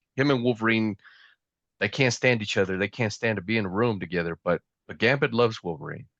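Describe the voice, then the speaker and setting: With a Southern accent, a man talks at a very fast pace broken by long, frequent pauses, in a dry, close sound with no echo. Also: quiet background. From US South. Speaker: pop culture reviewer. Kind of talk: casual chat. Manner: animated.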